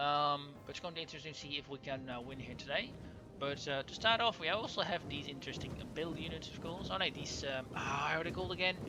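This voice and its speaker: A man with a Dutch accent, fairly high in pitch, lively intonation, a very fast pace, and music in the background. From Netherlands, Overijssel. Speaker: gaming YouTuber. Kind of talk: let's play commentary. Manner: halting, many fillers.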